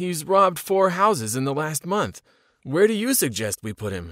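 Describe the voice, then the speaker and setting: In a put-on character voice, a man speaks at a moderate pace and a fairly high pitch with very wide pitch swings, recorded very cleanly against a silent background with a dry, close sound and no echo. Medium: read story. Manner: irritated, curt.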